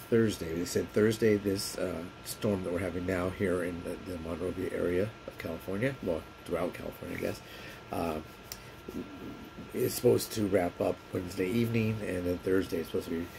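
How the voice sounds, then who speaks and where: Noticeable background noise surrounds a man with a very deep, low pitch. He speaks at a fairly quick pace with fairly even intonation. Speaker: vlogger. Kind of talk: casual vlog chat. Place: home room. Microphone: phone near.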